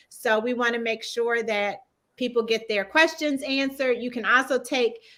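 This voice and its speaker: A woman's fairly high voice with a Southern US accent, bright and sharp in tone, at a fairly slow pace. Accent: Southern US twang. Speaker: talk show host. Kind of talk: interview wrap-up and promo.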